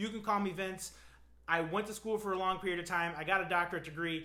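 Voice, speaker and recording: Talking at a very fast pace with a high pitch, a man is heard with audible room echo. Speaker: physical therapist. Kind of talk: educational talk to camera. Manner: animated, casual.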